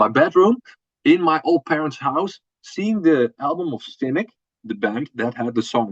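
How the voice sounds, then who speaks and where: A man with a Dutch accent speaks at a fairly high pitch with lively intonation. The sound is dry and close, with no echo. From Netherlands. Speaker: metal band drummer. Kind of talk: interview. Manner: halting, with repetitions.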